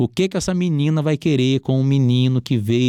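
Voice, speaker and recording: A man's dark, mellow voice at medium pitch and a fairly quick pace, dry and close with no echo, on a very clean recording with a silent background. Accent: Rio de Janeiro. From Rio de Janeiro, Brazil. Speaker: entrepreneur. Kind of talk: interview testimony.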